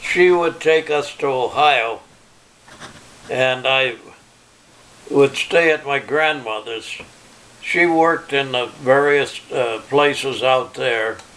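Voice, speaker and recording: A man with a fairly high pitch and ordinary pitch variation talks at a very slow pace. He takes long, frequent pauses over noticeable background noise. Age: 90s. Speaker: retired electrician and farmer. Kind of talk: family oral history interview. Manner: halting.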